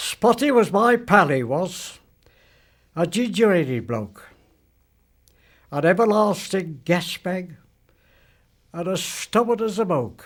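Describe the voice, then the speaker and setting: The speaker goes at a very slow pace with long, frequent pauses and lively intonation. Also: man, high pitch for a man. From England. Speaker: war veteran. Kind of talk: poetry reading.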